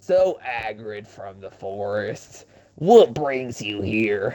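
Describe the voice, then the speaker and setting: A man puts on a drawling character voice at a medium pitch. He speaks at a very slow pace. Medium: read story. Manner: folksy, drawling.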